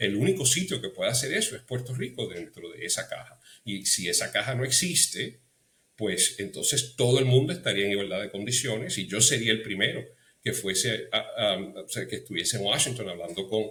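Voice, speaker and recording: A man's medium-pitched voice, fairly quick, with lively intonation. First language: English (speaking Spanish). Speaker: political commentator. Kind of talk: interview. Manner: halting, many fillers.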